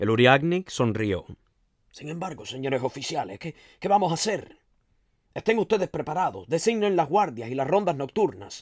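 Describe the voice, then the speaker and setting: A man with a fairly high pitch and vocal fry speaks in a dramatic tone at a moderate pace, his pitch swinging very widely, in a very clean, dry, close recording with a silent background and no echo. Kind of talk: literary audiobook reading, with a conversational intro and recap. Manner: measured storyteller's pace, shifting to dramatic, emotive delivery in dialogue.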